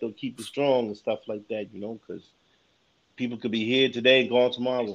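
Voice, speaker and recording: Talking at a fairly quick pace, a man with a New York accent speaks at medium pitch. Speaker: podcaster. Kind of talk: casual chat.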